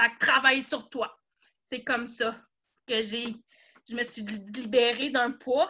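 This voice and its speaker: With a Quebec accent and a bright, sharp tone, a woman speaks with fairly even intonation over a quiet background. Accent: Québécois French. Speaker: network marketing seller. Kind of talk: personal testimony in a live talk.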